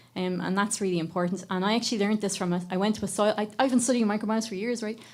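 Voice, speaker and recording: Speaking at a very fast pace, a woman with an Irish accent keeps her intonation fairly even. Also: medium pitch for a woman. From Ireland. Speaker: microbiome researcher and educator. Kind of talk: panel discussion.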